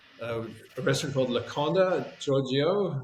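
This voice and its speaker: A man with a mid-range voice speaks, and room echo can be heard. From South Africa, also Canada and England. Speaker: chef and restaurateur. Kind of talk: casual interview.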